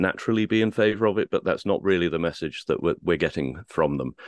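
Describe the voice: The speech is fairly quick, with lively intonation and vocal fry. The sound is dry and close with no echo, and the background is quiet. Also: man.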